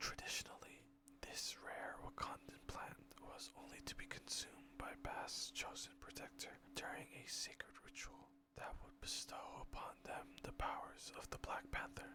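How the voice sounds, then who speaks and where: Someone whispers at a moderate pace. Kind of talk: ASMR whispered story reading. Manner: whispered.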